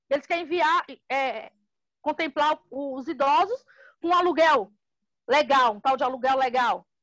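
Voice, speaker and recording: A woman talks. Her voice sounds dry and close, without any echo. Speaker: housing movement leader. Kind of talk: interview.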